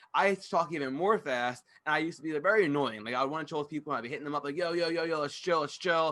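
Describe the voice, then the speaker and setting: Very fast with hardly any pauses, a man speaks at a fairly high pitch in an animated, bright, sharp tone with ordinary pitch variation. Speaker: podcast host. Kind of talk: casual monologue.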